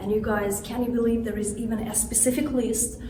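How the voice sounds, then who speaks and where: A woman at a moderate pace in monotone, flat intonation, with audible room echo and noticeable background noise. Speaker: tour guide. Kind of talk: guided tour. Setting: indoors in a hotel.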